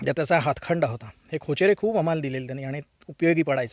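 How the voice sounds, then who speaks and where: A man with ordinary pitch variation, in a dry, close sound with no echo. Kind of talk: personal reminiscence storytelling. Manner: conversational, hesitant.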